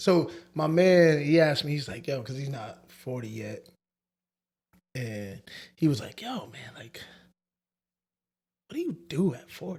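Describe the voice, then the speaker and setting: Somewhat breathy, a man with a fairly high pitch speaks at a fairly slow pace with lively intonation and long, frequent pauses. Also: big swings in loudness. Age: 40s. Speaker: podcast co-host. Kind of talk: casual chat.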